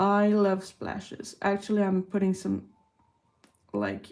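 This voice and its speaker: A woman's medium-pitched voice, dark and mellow in tone, with a Quebec accent. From Quebec, Canada. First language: French. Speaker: artist streamer. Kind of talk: live art stream chat. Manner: casual, unhurried.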